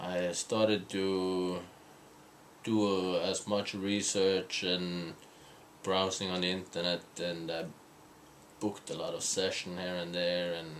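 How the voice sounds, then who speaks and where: A man's very deep, low voice in a monotone, flat delivery, at a very slow pace with long, frequent pauses and audible room echo. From Norway, small island. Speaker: spiritual couple vlogger. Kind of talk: casual chat. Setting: hotel room in London. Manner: halting, many fillers and repeats.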